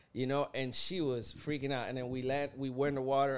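A man is speaking here. He talks at a very fast pace with a Puerto Rican accent. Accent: Puerto Rican-tinged South Florida English. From Puerto Rico, raised in South Florida. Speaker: podcast host. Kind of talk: casual chat. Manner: animated, jokey.

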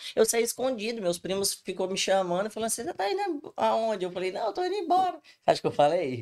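A woman's very fast speech with very wide pitch swings. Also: medium pitch for a woman. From Brazil, Espírito Santo. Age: 20s. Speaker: podcast guest. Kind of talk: casual chat.

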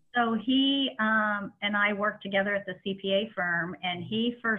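Speaking at a fairly slow pace, a woman with an American accent uses an unremarkable speaking voice of medium pitch and ordinary pitch variation. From Indianapolis, Indiana. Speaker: radiology practice executive, association president. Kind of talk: interview.

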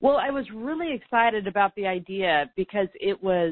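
At a fairly slow pace, a woman speaks at a medium pitch in an unremarkable speaking voice. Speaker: teacher and coach. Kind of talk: interview.

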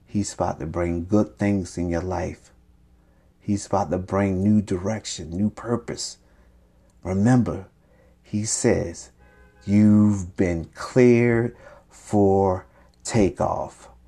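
A man speaks very slowly, with long, frequent pauses, in a fairly low, warm voice with fairly even intonation. Music plays in the background. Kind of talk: sermon. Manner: warm, exhortative, encouraging; prophetic, declarative pulpit cadence with call-and-response 'Amen'.

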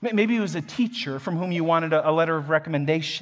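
A man with a plain, everyday voice speaks at a fairly quick pace. His pitch is fairly high, with ordinary variation. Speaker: pastor. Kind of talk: sermon. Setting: church.

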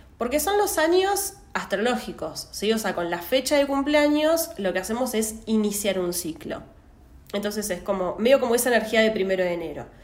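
With a Rioplatense accent, the speaker talks at a moderate pace with very wide pitch swings, amid audible room echo and noticeable background noise. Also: woman, fairly high pitch for a woman. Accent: Argentine Spanish (rioplatense). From Argentina, Santa Rosa, La Pampa. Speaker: astrology podcaster. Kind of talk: solo podcast monologue. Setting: at home. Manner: hesitant, many fillers.

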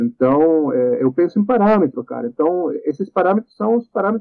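Speaking with a Spanish accent, a man with high pitch talks at a fairly quick pace with lively intonation. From Chile. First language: Spanish (speaking Portuguese). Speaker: composer. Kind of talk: casual interview.

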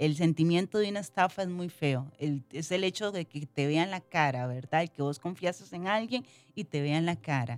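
In an ordinary speaking voice, a woman talks at a fairly low pitch and moderate pace with hardly any pauses. Her pitch variation is ordinary, and the sound is dry and close with no echo. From Costa Rica, Limón. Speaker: model and entrepreneur. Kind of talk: interview.

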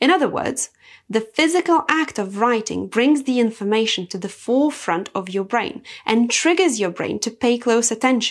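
A woman with a Lithuanian accent speaks at a moderate pace in a fairly high voice with lively intonation. The recording is very clean, with a silent background. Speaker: self-improvement podcaster. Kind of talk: motivational monologue.

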